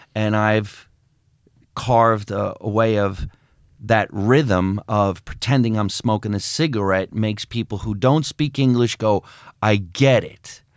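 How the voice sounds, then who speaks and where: In a very clean recording with a silent background, a man with an American accent and a plain, everyday voice talks at a fairly slow pace with fairly even intonation. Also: fairly low pitch for a man. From New Jersey. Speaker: comedian and actor. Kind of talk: casual chat. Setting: studio.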